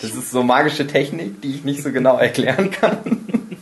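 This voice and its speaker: Background noise is noticeable as a man talks at a fairly slow pace with very wide pitch swings. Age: 20s. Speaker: podcast host. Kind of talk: casual chat.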